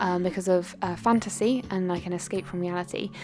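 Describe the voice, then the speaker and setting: The woman talks at a very fast pace, with ordinary pitch variation. Noticeable background noise is present. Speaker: school staff member and video creator. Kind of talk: casual personal vlog. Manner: fast, with many fillers.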